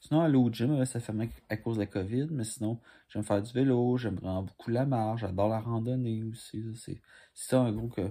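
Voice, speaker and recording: In a Quebec accent, a man speaks with fairly even intonation. His tone is dark and mellow. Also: moderate pace. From Quebec, Montreal. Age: 20s. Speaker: commercial auditionee; candidate. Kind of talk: audition self-presentation. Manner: halting. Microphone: phone near.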